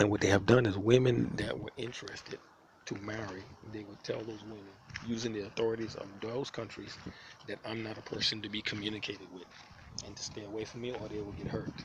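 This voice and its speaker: Over noticeable background noise, a man with an American accent talks at a very fast pace. His fairly low voice stays monotone and flat in intonation yet swings widely in loudness. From New York City (Manhattan, South Bronx). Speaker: homeless vlogger. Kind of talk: personal video diary. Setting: outdoors. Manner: halting, repetitive.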